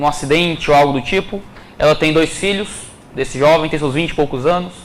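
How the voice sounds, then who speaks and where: There is noticeable background noise and audible room echo as a man speaks with a fairly high pitch. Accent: Ceará. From Ceará, Brazil. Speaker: preacher. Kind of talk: sermon.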